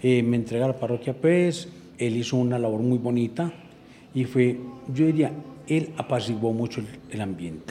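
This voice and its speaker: Against noticeable background noise, a man talks at a moderate pace and medium pitch. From Antioquia, Colombia (Andes). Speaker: parish priest. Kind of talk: interview.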